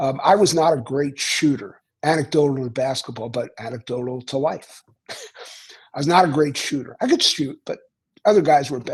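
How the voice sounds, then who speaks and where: Speaking at a moderate pace in a Philadelphia accent, a man with a fairly high pitch sounds somewhat breathy and uses ordinary pitch variation. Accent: Philadelphia American. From US Northeast, Philadelphia. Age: 70s. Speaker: author. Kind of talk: casual chat.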